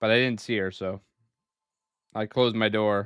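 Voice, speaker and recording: A man with a Northeastern US accent speaks at a fairly low pitch with ordinary pitch variation. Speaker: gaming streamer. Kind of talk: live gameplay stream chat. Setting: home room, live stream. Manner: casual, halting with fillers.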